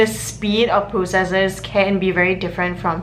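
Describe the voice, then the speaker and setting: Heard with audible room echo, a woman talks at a moderate pace in a medium pitch. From Singapore. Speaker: university student vlogger. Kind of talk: casual vlog talk. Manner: animated.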